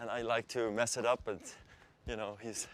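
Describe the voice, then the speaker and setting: A man speaks with a Swiss German accent. His pace is very fast and his pitch medium. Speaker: athlete. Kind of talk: casual talk during training.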